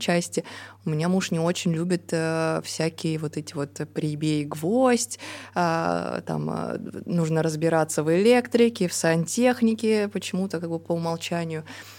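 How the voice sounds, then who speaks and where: Her tone dark and mellow, a woman speaks at a fairly slow pace and a fairly low pitch with ordinary pitch variation. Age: 30s. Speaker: podcast co-host. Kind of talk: casual podcast conversation.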